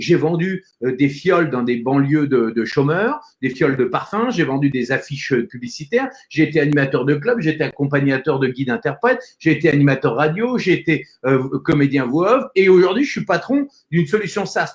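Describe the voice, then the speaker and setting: A man's normal speaking voice, fairly high in pitch, with lively intonation, a moderate pace and hardly any pauses. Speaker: voice-over actor, public speaking coach and entrepreneur. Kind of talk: interview answer, conversational motivational talk.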